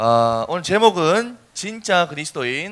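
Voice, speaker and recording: In a Busan accent, a man speaks in an animated tone with very wide pitch swings. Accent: Gyeongsang (Busan) dialect. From South Korea, Busan. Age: 20s. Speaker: youth speaker. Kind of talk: sermon.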